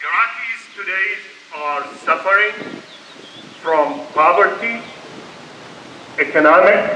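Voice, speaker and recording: In an Arabic accent, a man speaks in a raised, projected voice at a very slow pace with long, frequent pauses, amid noticeable background noise and audible room echo. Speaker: keynote speaker, peace activist. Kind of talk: keynote speech. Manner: impassioned.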